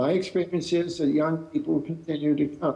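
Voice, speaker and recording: His tone is dark and mellow as the man speaks. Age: 80s+. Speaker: professor and author. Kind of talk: Q&A answer at a talk. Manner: halting, many fillers.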